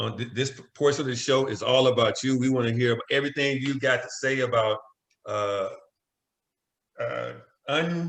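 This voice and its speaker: Long, frequent pauses break up the speech. It comes from a man with an American accent at a moderate pace. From Arkansas. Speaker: podcast host. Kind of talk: podcast interview.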